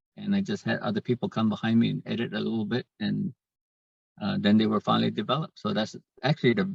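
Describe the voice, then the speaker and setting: Dry and close with no echo, a man with an American accent speaks at a medium pitch with very wide pitch swings. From San Carlos Apache Reservation, Arizona. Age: 50s. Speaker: Apache language instructor. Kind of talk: interview answer.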